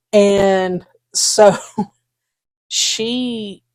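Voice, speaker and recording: Speaking with a Southern US accent, a woman uses ordinary pitch variation. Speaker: podcast co-host. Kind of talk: casual chat. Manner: halting.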